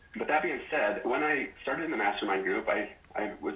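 A man talks while clear background noise can be heard. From Wyoming. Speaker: former real estate appraiser, business owner. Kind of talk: interview. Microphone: phone backup recording, poor audio.

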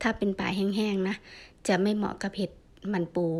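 A woman with a medium-pitched voice talks on a very clean recording, the background silent. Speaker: vlogger foraging mushrooms. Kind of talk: casual vlog narration. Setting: outdoors in a forest. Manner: halting.

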